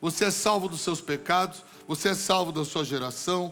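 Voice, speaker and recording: A man's high-pitched voice at a moderate pace. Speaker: pastor. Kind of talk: sermon. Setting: church.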